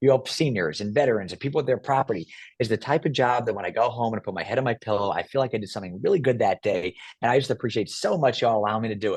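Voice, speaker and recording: Against a quiet background, a man talks at a very fast pace in an animated tone of medium pitch, with ordinary pitch variation and a dry, close sound with no echo. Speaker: property appraiser and politician. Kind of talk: interview.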